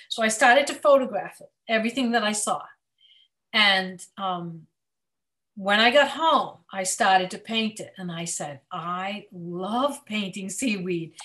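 A woman speaks at a medium pitch and a fairly slow pace, her bright, sharp tone carrying lively intonation and big swings in loudness against a quiet background. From central Massachusetts. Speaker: children's author and illustrator. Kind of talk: casual interview. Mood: warm, enthusiastic. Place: home room. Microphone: video call.

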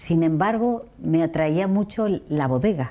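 The speaker is a woman. Her tone is dark and mellow. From Andalusia, Seville and Jerez; Andalusia. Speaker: wine tourism entrepreneur; guest. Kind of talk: interview. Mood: warm, animated storytelling. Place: studio. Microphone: lapel.

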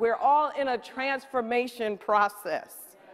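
This woman's tone is animated. She talks at a fairly slow pace. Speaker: preacher. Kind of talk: sermon. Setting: church with congregation. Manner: animated, rhythmic call-and-response preaching; emphatic, repeating key lines for effect. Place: stage. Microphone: headset.

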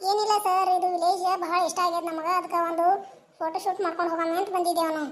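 In a cartoonish character voice, a woman speaks at a moderate pace with extremely high pitch and monotone, flat intonation. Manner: polite, persuasive.

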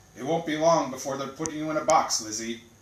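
A man's put-on character voice, fairly high-pitched and very fast, with a slight echo. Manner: teasing, dry.

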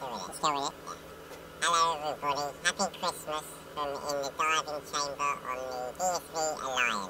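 A man with a squeaky, fairly high-pitched voice speaks at a moderate pace. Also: ordinary pitch variation. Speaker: saturation diver. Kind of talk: casual Christmas video message. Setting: saturation diving chamber.

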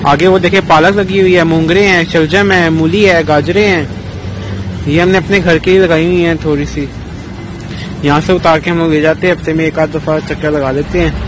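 In a dry recording with no echo but noticeable background noise, a man speaks at a moderate pace with a high pitch and ordinary pitch variation. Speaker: vlogger. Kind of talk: casual vlog chat. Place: farm machine. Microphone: phone near.

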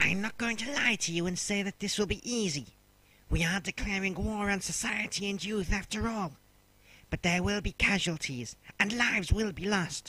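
A man's raised, projected voice, high in pitch, at a moderate pace with ordinary pitch variation. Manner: solemn, rousing.

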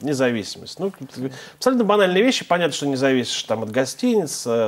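The speaker is a man. His pitch moves in very wide swings. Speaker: TV host. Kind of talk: TV talk show with call-ins. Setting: studio. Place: studio. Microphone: lapel.

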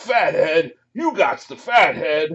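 A man shouts in a put-on character voice. His pitch is high. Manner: screaming, arguing.

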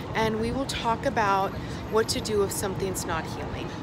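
Music plays in the background while a woman talks. The sound is dry with no echo. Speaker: spiritual life coach vlogger. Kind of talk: casual vlog chat. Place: street. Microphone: phone near.

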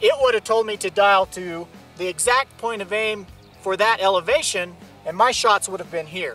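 A raised, projected voice moves at a moderate pace with ordinary pitch variation, the sound dry with no echo and faint music in the background. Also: man. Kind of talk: product demonstration talk. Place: open country.

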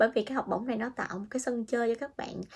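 Her voice is high-pitched with ordinary pitch variation. The woman speaks against a quiet background. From Vietnam. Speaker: vlogger, international student in Japan; vlogger. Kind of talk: casual vlog monologue. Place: home room. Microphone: phone near.

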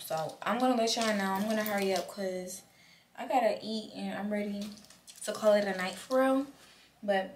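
Over light background noise, a woman speaks at a fairly quick pace with ordinary pitch variation. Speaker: vlogger. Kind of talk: casual vlog chat. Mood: relaxed, a bit hurried. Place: home room. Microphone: camera far.

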